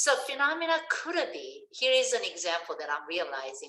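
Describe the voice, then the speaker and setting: Speaking at a fairly slow pace with a Korean accent, a woman uses very wide pitch swings and a bright, sharp tone. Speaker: science education professor. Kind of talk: lecture. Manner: halting.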